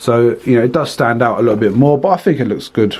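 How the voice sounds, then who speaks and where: Speaking with a British accent, the man's pitch varies in an ordinary way. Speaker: reptile breeder and video host. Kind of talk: casual room tour video. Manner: fast.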